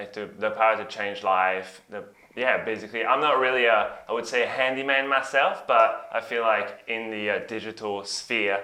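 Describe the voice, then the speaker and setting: A man with a non-native accent and medium pitch speaks with hardly any pauses, amid audible room echo. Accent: foreign accent, noticeable. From Belgium. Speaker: software engineer. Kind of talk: interview. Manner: hesitant, many fillers.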